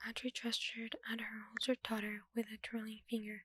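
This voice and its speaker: A soft-spoken woman talks at a fairly slow pace in a monotone, flat intonation, with a dry, close sound and no echo. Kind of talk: audiobook-style dramatic reading of a novel. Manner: soft-spoken, ASMR style.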